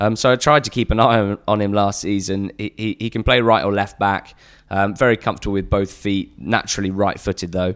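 With fairly even intonation, this man talks at a fairly quick pace. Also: fairly low pitch for a man, very clean recording, silent background. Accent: English. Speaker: podcaster covering lower-league football. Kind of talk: casual chat.

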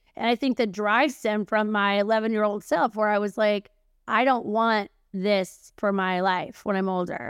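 A woman with a fairly high pitch and a normal speaking voice talks at a moderate pace, her intonation fairly even and her loudness very even. The recording is very clean with a silent background, and the sound is dry and close with no echo. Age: 40s. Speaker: publishing and marketing consultant, entrepreneur. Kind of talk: casual chat.

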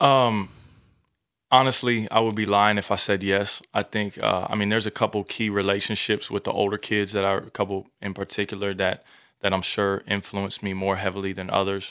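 Speaking at a fairly quick pace with an American accent, a man keeps his intonation monotone and flat. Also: fairly low pitch for a man. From Virginia (Newport News). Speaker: school assembly speaker and musician. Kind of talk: casual interview.

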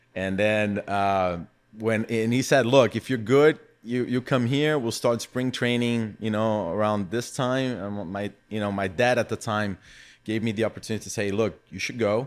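On a very clean recording with a silent background, a man speaks with a Brazilian accent. His pitch is fairly low, his intonation fairly even and his pace moderate. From São Paulo, Brazil. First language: Portuguese. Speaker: footvolley founder and former athlete. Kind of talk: casual interview.

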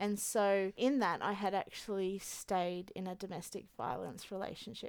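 Speech at a moderate pace comes through in a very clean recording with a silent background. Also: woman, medium pitch for a woman, ordinary pitch variation. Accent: Australian. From Australia. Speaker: single mother. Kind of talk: testimony. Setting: studio.

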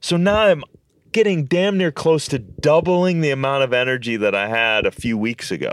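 With an American accent, a man talks at a moderate pace, his pitch swinging very widely. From Minnesota, US Midwest. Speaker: health and superfoods expert. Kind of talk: casual interview chat.

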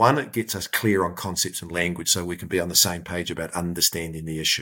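In a very clean recording with a silent background, a man with a New Zealand accent speaks very fast in a very deep, low pitch. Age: 40s. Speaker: business safety forum chief executive. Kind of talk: interview.

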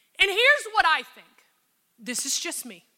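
A woman speaks at an extremely high pitch in a raised, projected voice with a bright, sharp, animated tone. Her pitch swings very widely at a moderate pace. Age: 40s. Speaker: pastor. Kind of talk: sermon.

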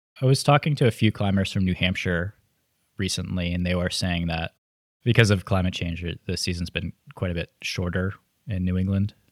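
A man's very deep, low voice shows ordinary pitch variation. The very clean recording has a silent background and a dry, close sound with no echo. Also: fairly quick pace. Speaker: podcast host. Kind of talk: interview.

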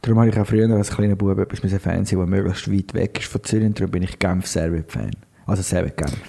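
Talking at a very fast pace, a man uses a fairly low pitch. Noticeable background noise runs throughout. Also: ordinary pitch variation. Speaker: podcast co-host. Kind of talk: casual chat.

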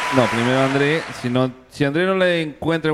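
A man's fairly high voice at a fairly quick pace, with noticeable background noise. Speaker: podcast host. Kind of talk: casual chat. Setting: outdoors. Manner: animated.

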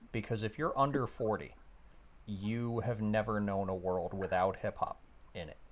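Using a plain, everyday voice, a man with a fairly low pitch speaks at a moderate pace with ordinary pitch variation. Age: 50s. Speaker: podcast host. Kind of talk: casual chat.

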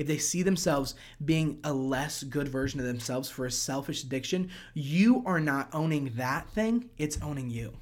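Using an American accent, a man talks at a moderate pace with ordinary pitch variation. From US Mid-Atlantic. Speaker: worship leader and singer-songwriter. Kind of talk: casual chat.

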